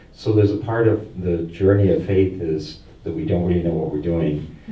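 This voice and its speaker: Audible room echo follows a man with a very deep, low pitch as he talks at a moderate pace. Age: 60s. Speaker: seminary student. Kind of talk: adult education conversation. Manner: halting.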